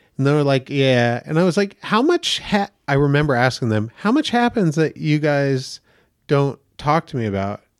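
In a dry, close sound with no echo, a man with a plain, everyday voice speaks at a fairly slow pace and a fairly high pitch. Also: very clean recording, silent background. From Maine, US. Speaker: actor and comedian. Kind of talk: casual chat.

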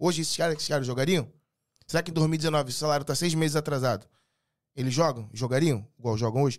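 A man talks at a very fast pace. His voice is fairly high in pitch, with ordinary pitch variation. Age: 30s. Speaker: entrepreneur and delivery business consultant. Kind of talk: casual chat.

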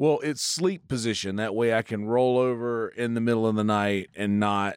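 A man with a South Carolina accent speaks at a fairly slow pace and medium pitch. His pitch variation is ordinary, and the recording is very clean with a silent background. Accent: Southern US (South Carolina). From Bennettsville, South Carolina. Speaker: comedian. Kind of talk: casual chat. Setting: studio.

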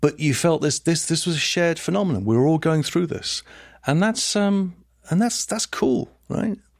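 A man's high-pitched voice with lively intonation and a southern English accent, on a very clean recording with a silent background. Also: moderate pace. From southern England, Hertfordshire (Liverpool family). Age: 60s. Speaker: philosopher and professor. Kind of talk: interview conversation.

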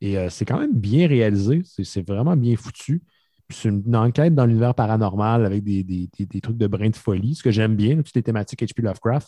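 This dark, mellow voice moves at a fairly quick pace with ordinary pitch variation, and the sound is dry and close with no echo against a quiet background. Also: man, medium pitch for a man. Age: 30s. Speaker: podcaster guest. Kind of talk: casual chat.

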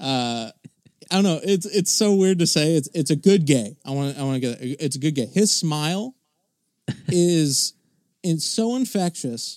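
Here is a man with a plain, everyday voice and a fairly high pitch. He talks at a moderate pace with lively intonation. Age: 20s. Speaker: podcast producer. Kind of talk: casual chat.

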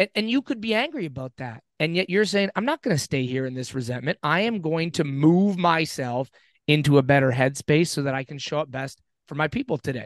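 A man with an ordinary speaking voice talks at a fairly quick pace, with a fairly high pitch and lively intonation. The sound is dry and close with no echo, over a quiet background. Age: 40s. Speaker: podcast co-host. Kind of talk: interview. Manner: casual.

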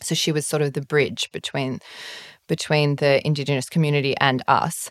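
Woman with an Australian accent and a very deep, low pitch at a moderate pace, in a very clean, dry, close recording with no echo and a silent background. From Sydney, Australia (North Shore). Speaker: travel writer. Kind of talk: casual chat.

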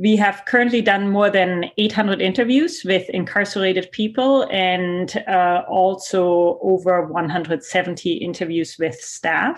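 Against a quiet background, a woman with a German accent speaks at a fairly slow pace with ordinary pitch variation. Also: medium pitch for a woman, hardly any pauses. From Germany. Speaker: sociology professor. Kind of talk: interview.

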